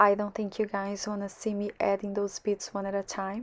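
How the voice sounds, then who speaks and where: A woman with a Portuguese accent speaks at a medium pitch. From Brazil. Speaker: card-making crafter. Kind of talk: tutorial narration.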